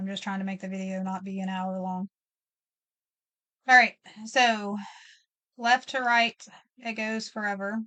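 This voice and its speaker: Bright and sharp in tone, the voice moves at a fairly slow pace with fairly even intonation, big swings in loudness and long, frequent pauses, sounding dry and close with no echo over a quiet background. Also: woman, medium pitch for a woman. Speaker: math teacher. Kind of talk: lecture. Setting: recorded video lesson.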